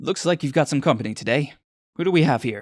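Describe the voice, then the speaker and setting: A man's raspy, put-on character voice at a fairly high pitch, delivered at a very fast pace. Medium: audio drama. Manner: brisk, friendly.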